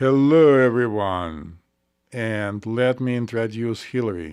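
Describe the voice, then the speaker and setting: Against a quiet background, a man uses a put-on character voice. He speaks at a fairly slow pace with a medium pitch. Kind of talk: announcer style, formal, presenting. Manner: grand, showy.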